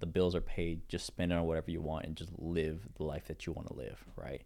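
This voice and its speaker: Very fast, very deep and low male speech with vocal fry and ordinary pitch variation. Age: 20s. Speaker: entrepreneur and online seller. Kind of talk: casual chat.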